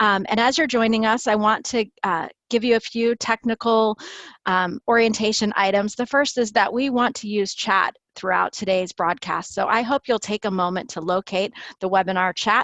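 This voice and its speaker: A woman with a normal speaking voice talks at a moderate pace, her fairly high pitch varying in an ordinary way. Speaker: webinar host. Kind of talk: webinar introduction. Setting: online webinar.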